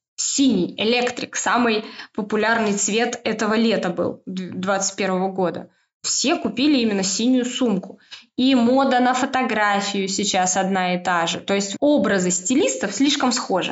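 A woman with an unremarkable speaking voice talks at a fairly high pitch and fairly slow pace. Her loudness stays very even, with ordinary pitch variation. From Moscow, Russia. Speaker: stylist and knitwear consultant. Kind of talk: casual chat.

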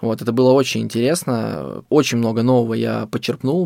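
A man talks fairly quickly at a medium pitch, in a normal speaking voice. His intonation stays fairly even. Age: 20s. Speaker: fast food business owner. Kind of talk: interview storytelling.

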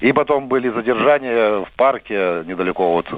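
A man speaks at a moderate pace in an unremarkable speaking voice, his intonation lively. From Belarus, Vitebsk region. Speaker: radio caller, election observer. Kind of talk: call-in to live radio.

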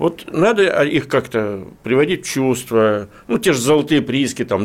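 Keeping a moderate pace, a man speaks with very wide pitch swings. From Russian Far East, Khabarovsk. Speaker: newspaper editor-in-chief, interviewer. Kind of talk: radio interview. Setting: studio.

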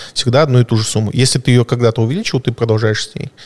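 Recorded with a dry, close sound and no echo, a man speaks at medium pitch, somewhat breathy, with fairly even intonation. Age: 30s. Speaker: private investor. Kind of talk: casual podcast conversation.

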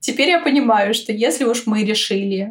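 The speaker's intonation is fairly even and the pace moderate. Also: woman. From Moscow, Russia. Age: 20s. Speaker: podcast guest, eco-lifestyle enthusiast. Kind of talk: casual interview.

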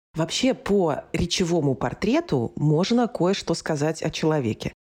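This woman's voice has a dark, mellow tone. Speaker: speech coach and actress. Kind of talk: interview, teaching tips.

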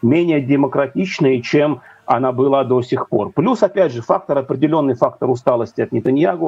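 At a moderate pace, a man with a normal speaking voice talks at a fairly high pitch. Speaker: news editor. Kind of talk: interview. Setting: video call.

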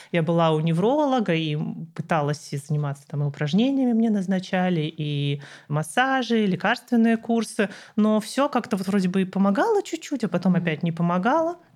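The woman talks at a fairly quick pace with very wide pitch swings. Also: medium pitch for a woman. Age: 30s. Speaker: physicist and cancer patient blogger. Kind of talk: interview.

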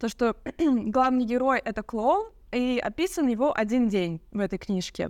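A woman speaks at a high pitch with lively intonation. The recording is very clean, with a silent background. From Russia, Yekaterinburg. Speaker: photographer and videographer. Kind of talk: casual chat.

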